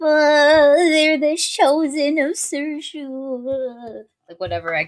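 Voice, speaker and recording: A put-on character voice, high in pitch, moves along at a very slow pace. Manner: odd put-on creature voice with noises.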